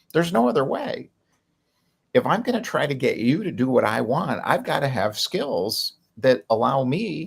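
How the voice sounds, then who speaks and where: A man's somewhat breathy voice, fairly high in pitch, moves at a moderate pace with very wide pitch swings. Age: 60s. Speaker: podcast host, business coach. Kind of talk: solo podcast monologue. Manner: casual, with many filler words.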